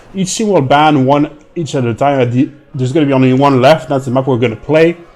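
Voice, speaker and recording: This man speaks with a French accent. His pitch is fairly high. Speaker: esports commentator. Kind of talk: live commentary. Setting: live stream.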